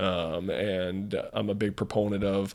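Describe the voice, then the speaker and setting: Speaking in a monotone with flat intonation, a man with an American accent has a fairly low pitch. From US South, North Carolina, Randolph County. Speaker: mortgage business owner. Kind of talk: podcast interview.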